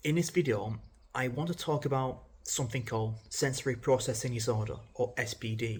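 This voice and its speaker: Somewhat breathy, a man talks at a fairly quick pace in a medium pitch. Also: ordinary pitch variation. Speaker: mental health vlogger. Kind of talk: casual unedited vlog talk. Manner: halting, with stammers and self-corrections; informal, conversational.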